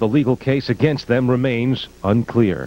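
A man with a slightly mellow tone, ordinary pitch variation and a fairly quick pace

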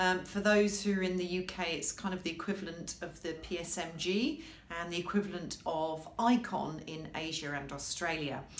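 In a room with audible echo, a woman talks at a moderate pace, her fairly low voice showing ordinary pitch variation. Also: hardly any pauses. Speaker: legal marketing professional. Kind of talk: casual talk to camera. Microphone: webcam.

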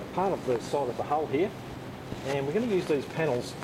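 Noticeable background noise is present. Through it comes a man's voice. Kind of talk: tutorial. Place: workshop. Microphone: camera far.

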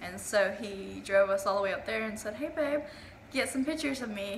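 Over noticeable background noise, a woman talks at a fairly quick pace. Her voice is fairly high, with ordinary pitch variation. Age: 20s. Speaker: YouTuber. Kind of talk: casual vlog chat. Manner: halting.

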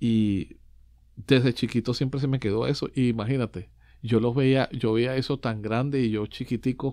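The voice has a dark, mellow tone and fairly even intonation. It moves at a fairly slow pace over a quiet background. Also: man. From Venezuelan-Puerto Rican family, raised in Orlando, Florida. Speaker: percussionist and music producer. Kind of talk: interview. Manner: halting, many fillers and repetitions. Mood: warm, smiling. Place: studio. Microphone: studio mic.

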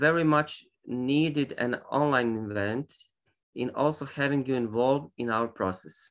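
A man at a fairly slow pace with lively intonation, over a quiet background. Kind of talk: formal opening speech. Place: home room. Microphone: video call.

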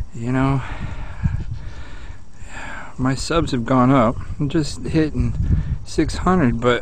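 The speech is very slow, with fairly even intonation. There is noticeable background noise, and the sound is dry with no echo. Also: man. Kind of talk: casual vlog chat. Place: open country. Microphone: phone near.

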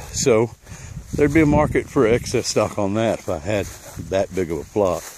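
A man with a fairly low voice talks at a moderate pace with ordinary pitch variation. The sound is dry with no echo, though background noise is noticeable. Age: 50s. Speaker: landowner planning a permaculture design. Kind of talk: walking property tour narration. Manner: casual, hesitant with fillers. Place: open country. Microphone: phone near.

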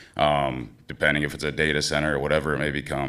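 Fairly quick in pace, a man speaks in a very deep, low pitch with vocal fry, a bright, sharp tone, and monotone, flat intonation. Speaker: small-town mayor. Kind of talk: public hearing comment.

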